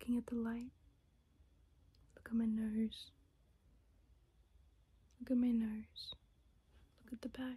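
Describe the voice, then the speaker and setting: A soft-spoken woman in a calm, gentle tone, with long, frequent pauses. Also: fairly slow pace. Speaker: ASMR creator. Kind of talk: ASMR soft-spoken instruction video. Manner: soft-spoken, calm, gentle. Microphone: phone near.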